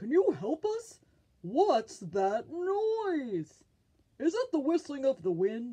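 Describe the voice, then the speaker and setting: Very slow and high-pitched, this put-on character voice swoops through very wide pitch swings. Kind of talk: children's picture book reading. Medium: read story. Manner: curious, questioning.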